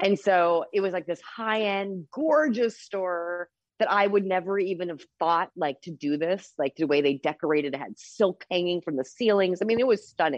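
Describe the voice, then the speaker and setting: With an ordinary speaking voice, a woman talks at a moderate pace in a medium pitch, using lively intonation and hardly any pauses. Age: 40s. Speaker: cannabis dispensary owner. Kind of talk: casual interview.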